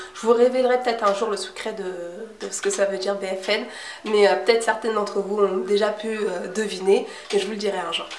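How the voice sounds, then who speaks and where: This woman's fairly high voice moves at a moderate speed, with audible room echo and noticeable background noise around her. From Cape Verdean heritage. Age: 20s. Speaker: beauty youtuber. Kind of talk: casual Q&A vlog. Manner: hesitant, many fillers.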